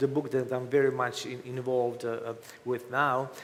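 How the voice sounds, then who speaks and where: Amid audible room echo and noticeable background noise, a man with a Croatian accent speaks at a medium pitch with monotone, flat intonation. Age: 50s. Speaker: author. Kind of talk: interview. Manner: halting.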